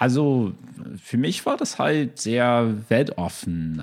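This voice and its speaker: A man's very slow speech with lively intonation, in a very clean recording against a silent background. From US, Chicago. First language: English (speaking German). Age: 30s. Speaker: lawyer. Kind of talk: casual chat. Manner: halting, many fillers.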